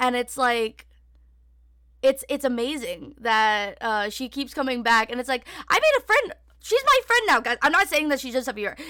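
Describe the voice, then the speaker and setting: A woman with a high pitch and a bright, sharp tone speaks in a raised, projected voice with lively intonation. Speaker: podcast host and streamer. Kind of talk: casual solo chat. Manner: fast talker when nervous; casual, filler-heavy.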